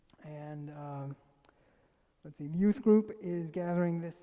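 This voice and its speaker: Delivery runs at a moderate pace. The speaker is soft-spoken. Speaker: congregant giving announcements. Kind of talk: reading announcements. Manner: halting.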